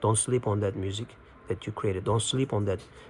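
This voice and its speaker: This man's somewhat breathy voice moves along at a fairly quick pace. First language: Turkish. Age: 30s. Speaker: spiritual video host. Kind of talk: casual monologue. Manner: halting.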